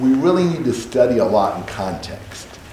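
Lively intonation marks this man's American accent. Noticeable background noise and audible room echo come through as well. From Indiana, Indianapolis. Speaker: Bible class teacher. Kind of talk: Bible study class.

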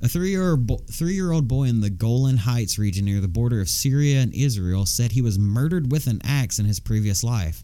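A man with a Southern US accent talks at a fairly quick pace with hardly any pauses, lively intonation and very even loudness. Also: medium pitch for a man. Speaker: podcast co-host. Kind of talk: casual chat. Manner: animated.

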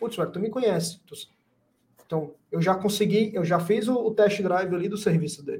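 A man at a high pitch, with ordinary pitch variation and a moderate pace. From Brazil, Fortaleza, Ceará. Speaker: lawyer and marketing agency founder. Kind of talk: casual interview.

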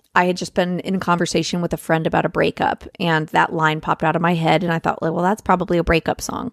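Speech comes at a very fast pace with hardly any pauses and monotone, flat intonation. The sound is dry and close, with no echo. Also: woman, fairly low pitch for a woman. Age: 30s. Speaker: folk singer-songwriter. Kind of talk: casual chat.

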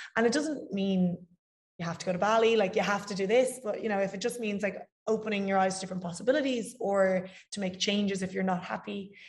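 A woman with an Irish accent talks very fast at a medium pitch, her voice somewhat breathy and her intonation fairly even. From Ireland. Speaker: fitness coach. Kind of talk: casual interview chat.

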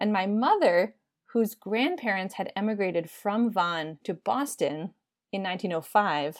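A plain, everyday voice with an American accent moves at a moderate pace with ordinary pitch variation. The recording is very clean, with a silent background. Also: woman. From United States. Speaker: social anthropologist. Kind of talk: interview.

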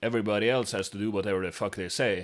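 The recording is very clean, the background silent. A man speaks at a fairly low pitch with a Norwegian accent. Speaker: podcast co-host. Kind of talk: casual chat; mock sports commentary. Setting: living room.

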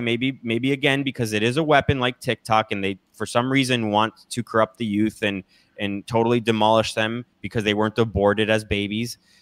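A man speaks fairly quickly in an ordinary speaking voice, his pitch medium and varying in an ordinary way. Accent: American. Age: 30s. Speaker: political commentator. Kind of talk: casual chat.

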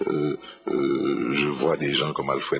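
A man's voice amid noticeable background noise. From Haiti, Port-au-Prince. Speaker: writer. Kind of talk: radio interview, life story. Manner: hesitant, many fillers (euh, hein).

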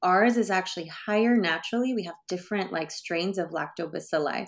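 A woman's medium-pitched voice with a Californian accent, fairly quick pace and ordinary pitch variation, on a very clean recording with a silent background. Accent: Californian American English. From US West Coast, San Francisco Bay Area. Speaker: sexologist and brand founder. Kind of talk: interview.

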